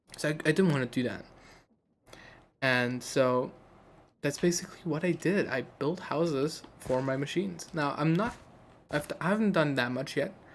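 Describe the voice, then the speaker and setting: This woman has a very deep, low pitch and lively intonation. She keeps a moderate pace but takes long, frequent pauses. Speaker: gaming video creator. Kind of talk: gameplay commentary. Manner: casual, hesitant with fillers.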